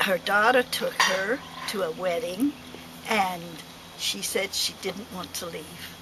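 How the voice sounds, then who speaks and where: A woman at a medium pitch and very slow pace, with ordinary pitch variation, long, frequent pauses, big swings in loudness and noticeable background noise. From London and Kent, England. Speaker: club member. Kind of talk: casual chat.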